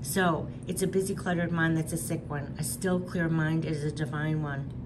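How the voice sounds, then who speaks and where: Noticeable background noise and audible room echo surround a woman's voice. She speaks at a moderate pace with a fairly low pitch. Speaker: tarot and oracle card reader. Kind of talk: spiritual card reading monologue.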